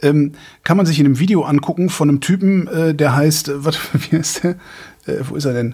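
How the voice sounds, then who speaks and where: Fairly high in pitch and somewhat breathy, a man speaks at a fairly quick pace with fairly even intonation, broken by long, frequent pauses. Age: 50s. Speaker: podcast co-host. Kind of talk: casual chat. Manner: halting.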